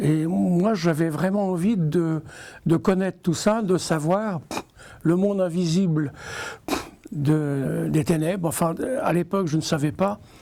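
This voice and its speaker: A man's high voice, dark and mellow, with ordinary pitch variation. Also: long, frequent pauses. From Normandy, France (Elbeuf). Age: 60s. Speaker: religious convert. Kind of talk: testimony. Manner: halting.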